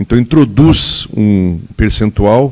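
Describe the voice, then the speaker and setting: The man's voice sits fairly low in pitch and shows ordinary pitch variation. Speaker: political adviser speaking from the audience. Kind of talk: audience comment at a public debate. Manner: animated.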